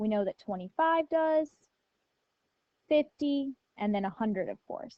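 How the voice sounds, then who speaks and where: This woman's high-pitched voice has a dark, mellow tone and very wide pitch swings, delivered at a fairly slow pace in a dry, close recording with no echo. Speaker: math teacher. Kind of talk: lecture.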